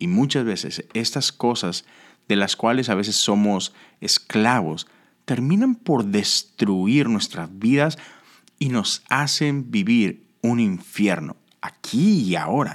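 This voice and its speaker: At a very slow pace, a man with a medium pitch speaks with lively intonation, the sound dry and close with no echo on a very clean recording with a silent background. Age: 40s. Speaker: pastor. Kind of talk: devotional talk.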